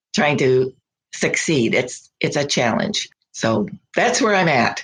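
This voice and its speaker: A woman with an American accent speaks at a very slow pace in a very deep, low, somewhat breathy voice, with very wide pitch swings and very even loudness. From US, small town. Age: 80s+. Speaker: weaver and fiber artist. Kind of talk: interview conversation. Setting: podcast interview. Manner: animated.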